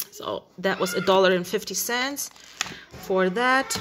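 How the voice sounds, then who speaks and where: The speech moves at a fairly slow pace with ordinary pitch variation. Noticeable background noise runs underneath. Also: woman. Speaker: haul vlogger. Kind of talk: casual vlog chat. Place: kitchen. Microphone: phone near.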